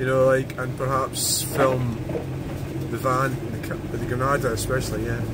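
A man talks at a fairly slow pace. Loud background noise runs underneath. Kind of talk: casual vlog chat. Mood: reflective, calm. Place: car. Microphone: phone near.

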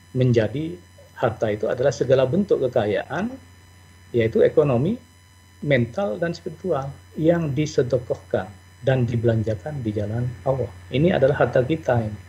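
Somewhat breathy, a man at a medium pitch speaks with lively intonation and long, frequent pauses. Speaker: accounting professor. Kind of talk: lecture. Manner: fast.

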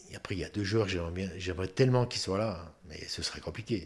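Here a man speaks with a very deep, low pitch. His pitch variation is ordinary. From Moselle, France. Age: 60s. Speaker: retired footballer; guest. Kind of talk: interview. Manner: halting, many repetitions. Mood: relaxed, reminiscing. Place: home room. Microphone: studio mic.

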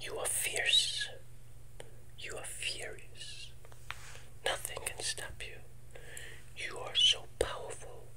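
Breathy and whispering, a man speaks at a very slow pace. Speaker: ASMR host. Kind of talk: soothing ASMR affirmation talk. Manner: soft, breathy ASMR affirmations. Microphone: earbuds.

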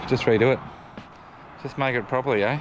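Over noticeable background noise, a man talks at a very fast pace in a monotone, flat delivery. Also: dry sound with no echo. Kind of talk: casual vlog chat. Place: open country. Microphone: phone near.

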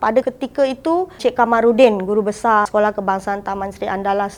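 A woman speaks with ordinary pitch variation. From Port Klang, Selangor, Malaysia. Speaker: retiring primary school teacher. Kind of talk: farewell interview reminiscence. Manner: casual, code-switching.

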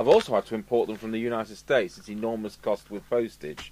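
At a fairly quick pace, a man speaks in a fairly low pitch with fairly even intonation and a slightly mellow tone.

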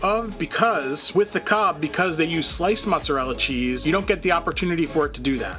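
A man speaks very fast. Clear music sounds in the background. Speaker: food reviewer. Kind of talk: commentary. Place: home room.

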